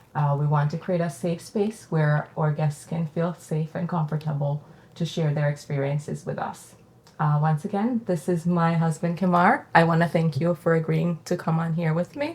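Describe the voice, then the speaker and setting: Somewhat breathy, a woman speaks in a Jamaican accent. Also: fairly low pitch for a woman, moderate pace. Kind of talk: casual conversational podcast interview.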